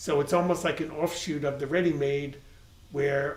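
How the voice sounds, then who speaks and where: A flat, monotone voice with an American accent, plus audible room echo and noticeable background noise. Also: man. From Long Island, New York. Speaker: art world interviewer. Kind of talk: interview.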